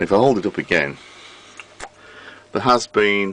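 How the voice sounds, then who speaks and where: A man with a British accent speaks at a fairly low pitch. Background noise is noticeable. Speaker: vintage radio repairer. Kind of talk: casual talk to camera.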